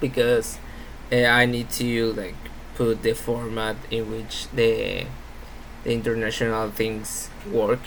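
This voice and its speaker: There is audible room echo around a man speaking with a Spanish accent. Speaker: university student. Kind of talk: class presentation. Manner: halting.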